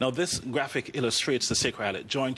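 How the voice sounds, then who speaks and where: A man with a Jamaican accent speaks at a medium pitch with ordinary pitch variation. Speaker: orthopedic spine surgeon. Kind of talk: TV talk show interview.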